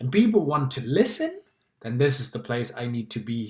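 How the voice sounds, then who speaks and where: At a moderate pace, a man with a German accent speaks in a fairly high, somewhat breathy voice. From Germany. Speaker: public speaking club member. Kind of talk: personal talk to camera.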